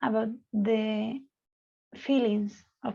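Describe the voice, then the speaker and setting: A woman speaks very slowly in a somewhat breathy, dark and mellow tone. Her fairly high voice stays monotone and flat. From Spain. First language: Spanish. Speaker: psychologist leading a student discussion. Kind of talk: moderated online discussion. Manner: halting, many fillers.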